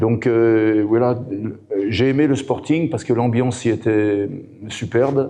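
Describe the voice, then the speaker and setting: A man speaks at a very slow pace with a dark, mellow tone. His intonation stays fairly even. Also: medium pitch for a man. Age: 60s. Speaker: football coach and former player. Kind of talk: interview. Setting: event. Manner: hesitant, many fillers.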